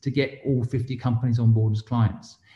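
With an English accent, a man speaks at a fairly quick pace in a medium-pitched, dark, mellow, somewhat breathy voice. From England. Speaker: entrepreneur and investor. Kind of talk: interview.

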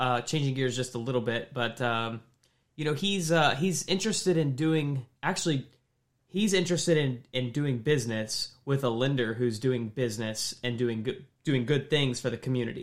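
A man talks with a Midwestern American accent at a medium pitch. His pitch varies in an ordinary way. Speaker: podcast host, mortgage professional. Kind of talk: casual chat.

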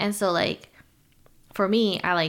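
A woman with an American accent and a plain, everyday voice, at a fairly slow pace with fairly even intonation. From US, Chinese American family. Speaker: podcast host. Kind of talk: casual chat.

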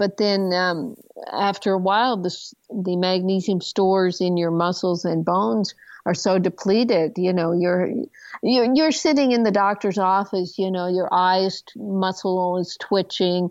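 At a fairly slow pace, a woman with a normal speaking voice speaks at medium pitch with ordinary pitch variation. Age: 60s. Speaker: doctor and author. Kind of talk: interview.

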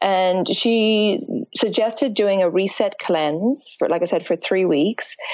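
Speaking very slowly with an Irish accent, a woman keeps a medium pitch and a very even loudness. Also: ordinary pitch variation. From Ireland. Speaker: fitness and yoga instructor, Ayurveda practitioner. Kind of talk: interview about health and wellness.

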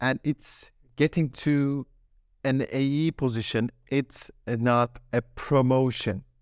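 Very even in loudness, the speech moves at a very slow pace with a dry, close sound and no echo. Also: man, medium pitch for a man, fairly even intonation. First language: German. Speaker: sales development rep. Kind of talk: casual interview. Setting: video call.

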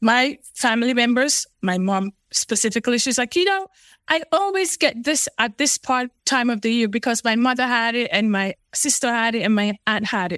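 A woman with a high-pitched voice speaks in an animated tone at a moderate pace with hardly any pauses. The sound is dry and close, with no echo. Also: lively intonation. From Sierra Leone. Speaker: geneticist. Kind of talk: interview.

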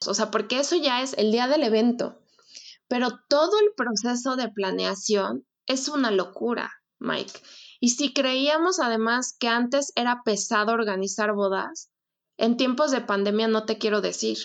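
Fairly slow delivery with ordinary pitch variation. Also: woman, high pitch for a woman. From Mexico City. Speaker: wedding planner. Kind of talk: casual chat.

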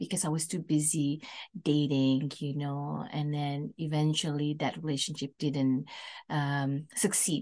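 In an Indonesian accent, a woman speaks fairly slowly with a very deep, low pitch and a dark, mellow tone against a quiet background. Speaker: singer and musician. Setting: in person.

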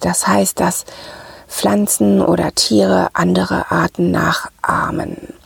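Against noticeable background noise, a woman with a very deep, low pitch speaks at a very slow pace and fairly even intonation in a dry, close sound with no echo. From Ruhr area, Germany. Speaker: podcast host, sales psychology coach. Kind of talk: solo podcast talk.

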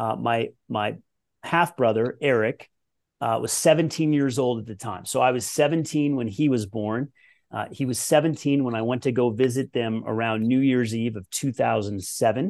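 A man with a General American accent has an unremarkable speaking voice at a medium pitch. He talks at a moderate pace with ordinary pitch variation over a quiet background. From Colorado, US. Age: 40s. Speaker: former pro tennis player and performance coach. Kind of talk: podcast interview.

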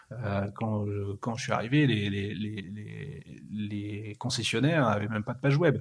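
A man speaks at a very slow pace with long, frequent pauses, in a fairly low pitch. His voice is somewhat breathy and has ordinary pitch variation. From northern France (Pas-de-Calais mining basin, Liévin near Lens). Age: 40s. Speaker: automotive communications executive. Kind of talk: interview. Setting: at the guest's home.

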